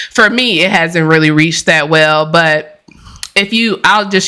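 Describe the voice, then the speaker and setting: A woman in a normal speaking voice talks at a moderate pace with ordinary pitch variation. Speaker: brand and content strategist. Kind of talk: live stream talk. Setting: live stream.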